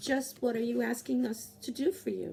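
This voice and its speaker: A man does a raspy put-on character voice at a moderate pace, over clear background noise. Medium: read story. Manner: calm, composed.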